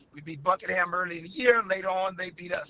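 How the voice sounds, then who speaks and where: A man talks at a high pitch. Noticeable background noise sits behind him. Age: 60s. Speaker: high school girls basketball head coach. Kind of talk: interview.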